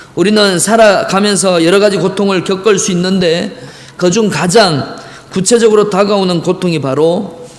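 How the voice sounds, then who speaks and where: Over noticeable background noise and audible room echo, a man with a high pitch speaks at a moderate pace and with ordinary pitch variation. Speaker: pastor. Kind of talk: sermon. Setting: church.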